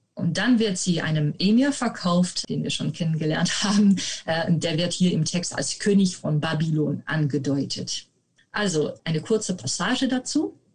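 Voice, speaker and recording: A woman talks with a Dutch accent and lively intonation. Her pace is moderate. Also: fairly low pitch for a woman. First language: Dutch (speaking German). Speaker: medieval literature researcher. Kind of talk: interview. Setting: video call.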